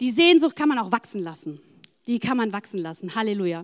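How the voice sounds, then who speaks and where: An animated voice moves along at a fairly quick pace with lively intonation. The recording is very clean, with a silent background. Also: woman. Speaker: preacher. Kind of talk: sermon. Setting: church.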